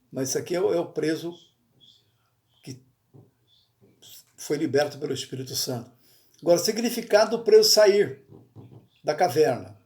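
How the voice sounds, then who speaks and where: A man's high-pitched voice with a dark, mellow tone, lively intonation, a moderate pace and long, frequent pauses. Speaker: pastor. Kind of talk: bible study sermon. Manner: halting, self-correcting.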